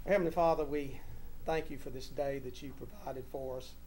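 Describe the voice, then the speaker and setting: A man's dark, mellow tone at a very fast pace, monotone and flat in intonation, with light background noise. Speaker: council chair leading meeting. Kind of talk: meeting opening and public prayer. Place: hall.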